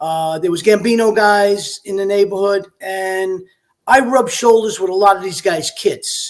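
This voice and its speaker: This man speaks at a moderate pace in an American accent, his voice high in pitch and his intonation fairly even. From Brooklyn, New York City. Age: 60s. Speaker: retired police detective. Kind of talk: interview.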